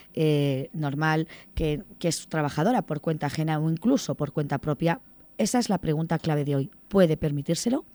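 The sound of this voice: A woman speaks with a low pitch and a dark, mellow tone at a moderate pace.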